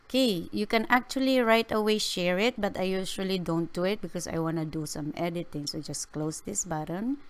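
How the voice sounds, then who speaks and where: A woman's normal speaking voice, medium in pitch, with lively intonation at a fairly quick pace. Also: very clean recording, silent background. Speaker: YouTuber. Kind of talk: tutorial.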